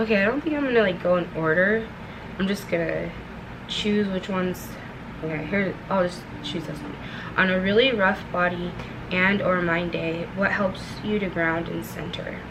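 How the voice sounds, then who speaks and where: Soft-spoken, a woman talks at a medium pitch and moderate pace with ordinary pitch variation and long, frequent pauses, in a room with audible echo and noticeable background noise. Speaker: vlogger. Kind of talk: casual chat. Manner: halting.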